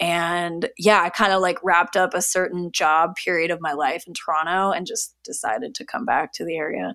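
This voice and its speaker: In a very clean recording with a silent background, a woman with a Canadian accent talks at a moderate pace with hardly any pauses. Her fairly low voice has a bright, sharp tone and ordinary pitch variation. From Canada, Niagara region of Ontario. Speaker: food blogger and cookbook author. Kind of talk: casual interview chat.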